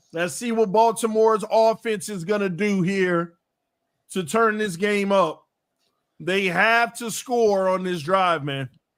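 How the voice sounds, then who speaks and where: The voice is shouting. It moves at a fairly slow pace. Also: man, high pitch for a man, ordinary pitch variation. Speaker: sports podcast host. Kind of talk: live play-by-play reaction. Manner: shouts a lot.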